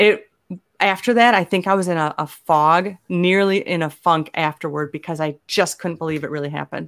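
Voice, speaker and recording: On a very clean recording with a silent background, a woman has an ordinary speaking voice, fairly low in pitch with ordinary pitch variation. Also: moderate pace. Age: 50s. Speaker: comedian and author. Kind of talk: interview.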